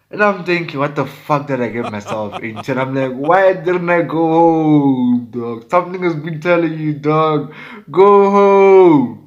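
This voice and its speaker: Over noticeable background noise, a man with a fairly high pitch and ordinary pitch variation talks at a fairly slow pace with hardly any pauses. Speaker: music producer. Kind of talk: storytime. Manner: animated.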